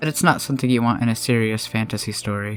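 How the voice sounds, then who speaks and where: The speech moves at a very fast pace. Music plays in the background. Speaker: freelance artist. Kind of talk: art tutorial narration.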